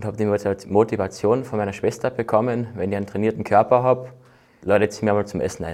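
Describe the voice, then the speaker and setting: This man has an ordinary speaking voice, medium in pitch, with fairly even intonation and a fairly quick pace. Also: very clean recording, silent background. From Austria, Carinthia (Völkermarkt). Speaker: bobsleigh athlete. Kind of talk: casual interview.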